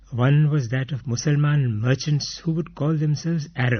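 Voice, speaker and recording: Somewhat breathy and fairly high in pitch, a man speaks at a fairly slow pace with ordinary pitch variation. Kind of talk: radio broadcast reading of an autobiographical text.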